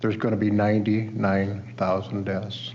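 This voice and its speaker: Audible room echo frames a man speaking with a Midwestern US accent. His pitch is fairly low, his pace moderate and his intonation fairly even. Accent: US Midwest. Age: 60s. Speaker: witness at a hearing, recovery advocate. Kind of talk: testimony.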